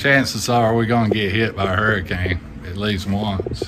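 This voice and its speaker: A man's fairly even intonation over noticeable background noise. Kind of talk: casual vlog chat. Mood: relaxed, chuckling. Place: workshop. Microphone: phone near.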